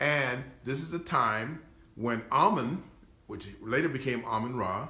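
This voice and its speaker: Audible room echo surrounds a man with a medium pitch. He speaks at a fairly slow pace. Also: ordinary pitch variation. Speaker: historian lecturer. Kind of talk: lecture. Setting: live stream. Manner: halting.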